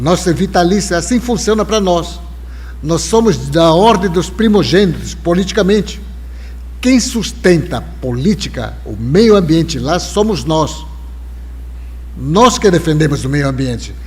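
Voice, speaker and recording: A man speaks at a fairly slow pace, with long, frequent pauses. Audible room echo and noticeable background noise surround him. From Brazil, Alto Rio Negro, Amazonas. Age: 70s. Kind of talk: live interview conversation. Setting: live stream with audience.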